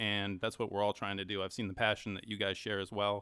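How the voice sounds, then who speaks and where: At a very fast pace, a man with an American accent speaks at a fairly low pitch. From New York. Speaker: addiction recovery organization representative. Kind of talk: public comment at meeting.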